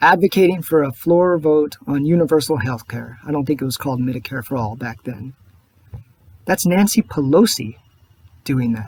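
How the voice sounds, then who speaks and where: Soft-spoken and somewhat breathy, a man with a fairly high pitch talks at a moderate pace with lively intonation. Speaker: political video blogger. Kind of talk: personal video monologue.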